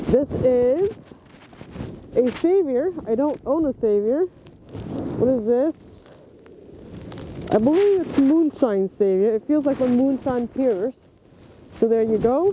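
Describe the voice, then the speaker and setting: A man speaks in an extremely high voice at a fairly slow pace, leaving long, frequent pauses. His intonation is lively and his loudness very even, with noticeable background noise. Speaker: disc golf youtuber. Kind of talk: unboxing vlog. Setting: outdoors in snowy park. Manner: animated.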